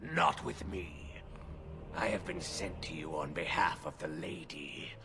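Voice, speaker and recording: A put-on character voice moves at a fairly slow pace through loud background noise. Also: man. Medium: game stream. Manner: formal, solemn.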